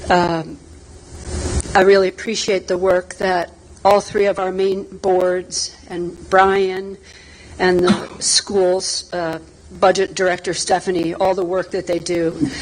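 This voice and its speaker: A woman speaks at a very slow pace in a monotone, flat delivery. Noticeable background noise runs underneath. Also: medium pitch for a woman. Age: 60s. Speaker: resident speaking at town meeting. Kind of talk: public comment at town board meeting.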